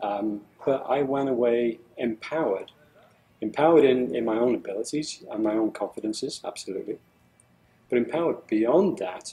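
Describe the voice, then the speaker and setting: A man's medium-pitched, dark, mellow voice with a British accent, moderate pace and ordinary pitch variation. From England. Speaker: engineer. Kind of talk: testimonial interview. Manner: halting, many fillers and repetitions.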